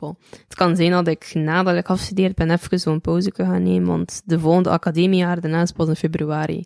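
Flat, monotone speech comes at a fairly quick pace with hardly any pauses, in a dry, close sound with no echo. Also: woman, fairly low pitch for a woman. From Belgium, West Flanders. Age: 20s. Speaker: rapper. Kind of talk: casual chat.

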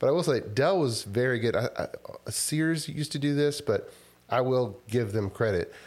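A man with an American accent has an unremarkable speaking voice, fairly high in pitch, with ordinary pitch variation and very even loudness. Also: moderate pace. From Texas, Houston area. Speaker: software company founder. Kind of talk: casual interview.

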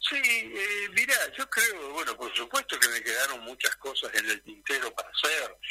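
With a Rioplatense accent, a man speaks at a fairly slow pace in a dry, close recording with no echo and noticeable background noise. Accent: Argentine Spanish (rioplatense). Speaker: retired politician, former mayor. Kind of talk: radio interview.

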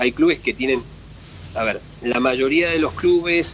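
A man speaks with a Rioplatense accent over noticeable background noise. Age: 50s. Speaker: sports federation president. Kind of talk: interview. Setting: phone call. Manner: halting.

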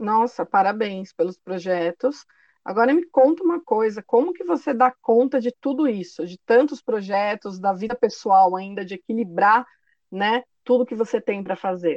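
Against a quiet background, with a dry, close sound with no echo, a woman uses a plain, everyday voice that is fairly high-pitched, moving at a moderate pace with lively intonation. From São Paulo, Brazil. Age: 30s. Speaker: podcast host and career coach. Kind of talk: casual interview.

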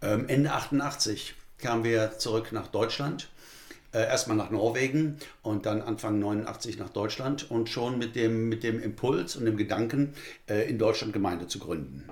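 A man with an unremarkable speaking voice and a medium pitch talks fairly slowly, his pitch varying in an ordinary way. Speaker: pastor. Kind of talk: interview. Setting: studio.

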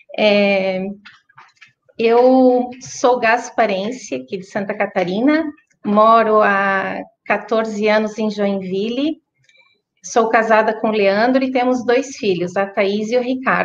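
Very slowly and with long, frequent pauses, a woman speaks at a fairly high pitch with ordinary pitch variation. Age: 40s. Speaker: Parkinson's patient. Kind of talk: testimony.

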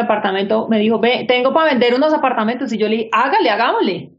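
Audible room echo surrounds a woman with a fairly high pitch and ordinary pitch variation. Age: 40s. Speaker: architect and business owner. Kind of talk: interview.

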